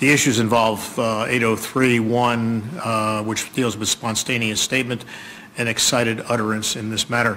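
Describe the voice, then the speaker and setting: Speaking at a medium pitch in a flat monotone, a man is heard over noticeable background noise. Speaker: judge. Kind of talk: courtroom ruling. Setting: courtroom.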